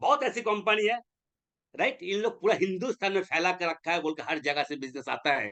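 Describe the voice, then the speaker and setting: A man's high-pitched, raised, projected voice carries a bright, sharp tone. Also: lively intonation, moderate pace. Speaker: network marketing leader. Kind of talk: motivational webinar talk. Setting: online webinar. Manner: animated, exhorting; blunt.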